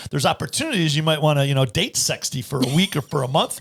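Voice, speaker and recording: Somewhat breathy, a man talks at a fairly quick pace. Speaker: financial advisor and podcast host. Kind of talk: casual chat. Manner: fast; animated.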